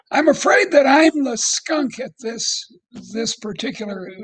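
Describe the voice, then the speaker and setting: A man's raspy, put-on character voice, pitched extremely high, at a moderate pace. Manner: stuttering.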